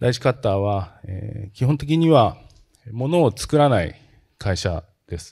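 Over a quiet background, a man speaks fairly slowly in a dark, mellow, somewhat breathy tone, with lively intonation and big swings in loudness. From Japan, Kanagawa (Tanzawa area); Kanagawa. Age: 50s. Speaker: company president; presenter. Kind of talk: investor presentation. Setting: seminar stage with audience. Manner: formal; frequent hesitation fillers. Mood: polite formal, calm. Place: hall. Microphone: handheld.

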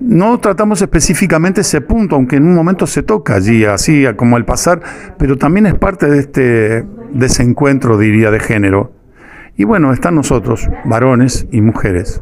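Amid light background noise, a man speaks at a moderate pace as his pitch swings very widely. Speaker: stage actor interviewed about play. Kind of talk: interview answer. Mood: earnest, reflective. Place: home room. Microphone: handheld.

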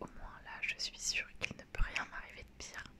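The speaker is whispering at a fairly slow pace. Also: woman. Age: 20s. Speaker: ASMR creator. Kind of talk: ASMR talk to camera. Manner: whispered.

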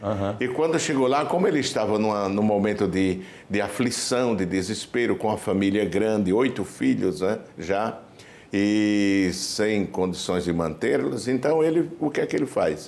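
At a fairly slow pace, a man with a fairly low pitch speaks with lively intonation. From Brazil, Pernambuco (Timbaúba); Pernambuco, Brazil. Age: 60s. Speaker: pastor, church president. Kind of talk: testimony interview. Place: home room. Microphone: lapel.

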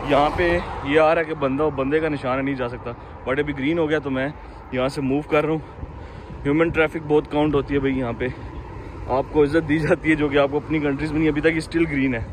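Over light background noise, a man talks at a fairly quick pace with monotone, flat intonation and a dry sound with no echo. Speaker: vlogger. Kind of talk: casual vlog chat. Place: street. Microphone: phone near.

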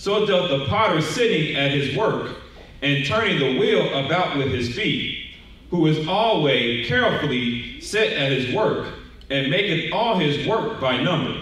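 Strong room echo surrounds a man whose fairly high voice swings very widely in pitch at a fairly slow pace, his loudness very even throughout. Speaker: scripture reader in congregation. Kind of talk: reading aloud. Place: hall.

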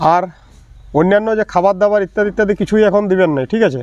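A man speaks with a strong West Bengal accent and fairly even intonation. The sound is dry and close, with no echo. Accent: strong regional Bankura dialect in this video. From Bankura, West Bengal, India. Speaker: gardening YouTuber. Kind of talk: casual vlog tutorial.

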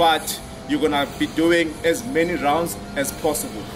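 A man talks at a moderate speed while music sounds clearly behind him. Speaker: fitness coach. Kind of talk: workout intro explanation. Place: gym.

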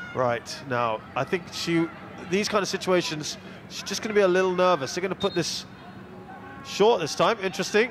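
Over noticeable background noise, a man with a high pitch sounds animated and excited, his intonation lively. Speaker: football commentator. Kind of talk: live football match commentary, play-by-play. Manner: animated, fast play-by-play delivery, excited at the goal.

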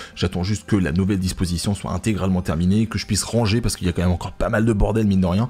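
This man has a very deep, low pitch and fairly even intonation. He talks at a very fast pace. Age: 30s. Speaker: gaming YouTuber and streamer; gaming YouTuber, streamer. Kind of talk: casual vlog address to viewers. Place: home room. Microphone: studio mic.

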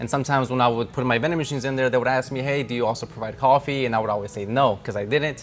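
A man speaks very fast at a medium pitch, with hardly any pauses. His intonation stays fairly even over light background noise. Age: 20s. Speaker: vending machine business owner. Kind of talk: casual interview and business tour. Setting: warehouse and route locations, on camera. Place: workshop.

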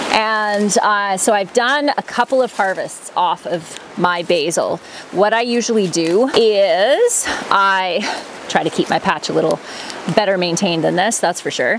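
Amid noticeable background noise, a woman talks at a moderate pace with ordinary pitch variation and a dry sound with no echo. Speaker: homesteader vlogger. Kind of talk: casual vlog chat. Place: garden. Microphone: phone near.

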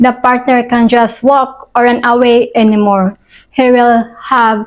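A woman with a Filipino accent speaks at a very slow pace and a high pitch. The background is quiet. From Philippines. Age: 30s. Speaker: vlogger. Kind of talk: scripted monologue. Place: home room.

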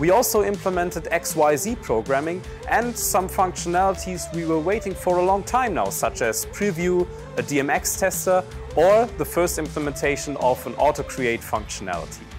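A man talks at a moderate pace. Clear music sounds behind him. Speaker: presenter. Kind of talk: product announcement. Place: studio. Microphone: lapel.

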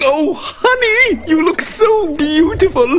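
Over faint background noise, a man uses a put-on character voice at an extremely high pitch, moving at a slow pace with lively intonation and a fairly bright tone.

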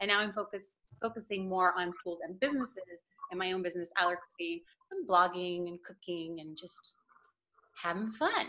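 A woman's bright, sharp tone at a fairly quick pace. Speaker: allergy-friendly food channel host. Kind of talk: casual group chat. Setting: video call. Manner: animated, laughs often. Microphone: video call.

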